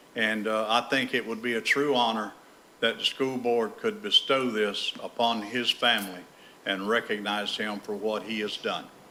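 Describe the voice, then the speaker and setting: The voice comes through loud at a moderate pace. Its intonation stays flat and monotone. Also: man, medium pitch for a man. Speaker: member of the public speaking at a meeting. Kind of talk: public comment. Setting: school board meeting room.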